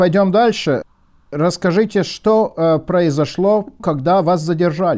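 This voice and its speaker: A man talks at a very slow pace in a high voice. His pitch varies in an ordinary way. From Latvia. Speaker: radio journalist. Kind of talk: interview.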